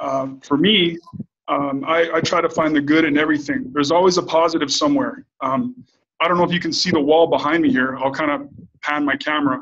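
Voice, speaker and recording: This man's voice is fairly high in pitch. It varies in pitch in an ordinary way. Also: fairly quick pace. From Canada. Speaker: bodybuilder. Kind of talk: interview. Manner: hesitant with many fillers.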